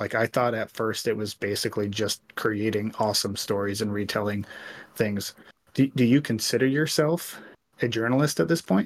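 A man's normal speaking voice, fairly low in pitch, at a moderate pace with ordinary pitch variation. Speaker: co-host. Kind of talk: casual chat.

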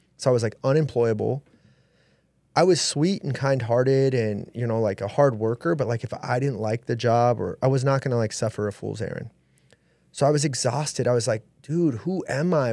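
A man with a plain, everyday voice keeps a medium pitch and ordinary pitch variation as he talks at a moderate pace. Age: 30s. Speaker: entrepreneur and mentor. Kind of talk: casual chat. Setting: studio.

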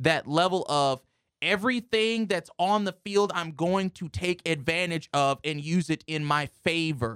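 Dry and close with no echo, a man's high-pitched voice moves at a fairly slow pace with ordinary pitch variation. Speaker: sports podcast co-host. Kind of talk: casual sports talk show banter. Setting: radio studio.

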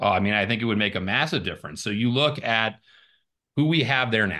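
Bright, sharp tone from a man with an American accent. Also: quiet background. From Arizona. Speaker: congressional candidate. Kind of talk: interview.

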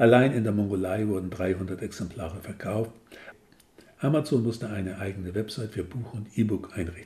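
With a dark, mellow tone and a somewhat breathy quality, a man talks at a moderate pace with ordinary pitch variation. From northern Germany. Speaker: author. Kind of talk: reading aloud.

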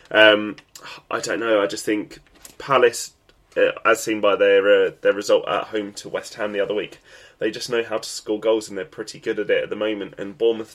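This is a man with an English accent. He talks at a moderate pace. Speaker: football podcast host. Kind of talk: solo sports podcast commentary.

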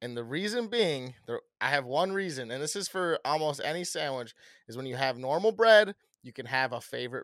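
An unremarkable speaking voice from a man at medium pitch and moderate pace, with lively intonation, recorded dry and close with no echo on a very clean, silent background. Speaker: podcast host. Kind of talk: casual chat.

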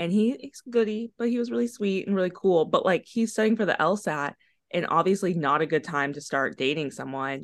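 Here a woman speaks in a normal speaking voice at medium pitch with lively intonation. She moves at a fairly quick pace with hardly any pauses against a quiet background. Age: 20s. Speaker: law student podcast co-host. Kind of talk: casual chat.

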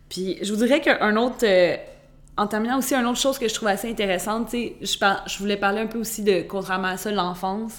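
With ordinary pitch variation, a woman talks very fast. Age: 20s. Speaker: podcast host. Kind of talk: casual monologue. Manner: frequent stumbles and repetitions.

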